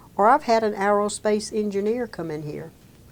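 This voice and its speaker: In a Mississippi accent, a woman speaks at a moderate pace with a medium pitch and ordinary pitch variation. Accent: Southern US (Mississippi). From US South, Meridian, Mississippi. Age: 70s. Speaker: senior employment program director. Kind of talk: interview.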